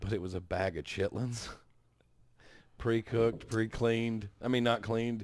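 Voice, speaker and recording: A man with a Southern US accent speaks at medium pitch and a moderate pace, with fairly even intonation and long, frequent pauses. The recording is very clean, with a silent background. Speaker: podcast host. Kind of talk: casual chat.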